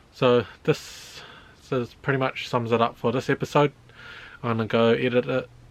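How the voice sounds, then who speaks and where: A man with a New Zealand accent speaks at a moderate pace in a flat monotone, his pitch medium. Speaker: car project YouTuber. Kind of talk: casual vlog narration. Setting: outdoors, backyard carport.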